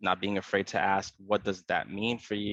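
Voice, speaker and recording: A man's fairly low voice at a very fast pace, dry and close with no echo, against a quiet background. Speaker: psychology trainee. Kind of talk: panel discussion.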